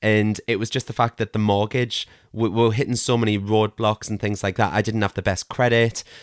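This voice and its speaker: A man's fairly low, flat, monotone voice at a fairly quick pace, dry and close with no echo, in a very clean recording with a silent background. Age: 30s. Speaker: crystal shop owner, former NHS worker. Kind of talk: casual interview chat.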